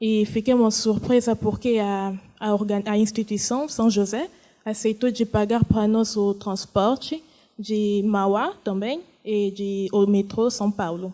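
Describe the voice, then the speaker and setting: A woman with a non-native accent and a dark, mellow tone speaks at a fairly high pitch and a fairly slow pace, with fairly even intonation. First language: not Portuguese (speaking Portuguese). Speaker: refugee, panel speaker. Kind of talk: testimony. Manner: halting.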